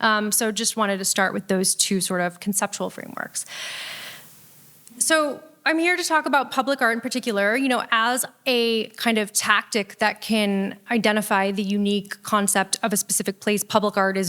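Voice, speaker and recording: A woman's ordinary speaking voice at a medium pitch and moderate pace, with an ordinary pitch variation. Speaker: public art consultant and speaker. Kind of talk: lecture.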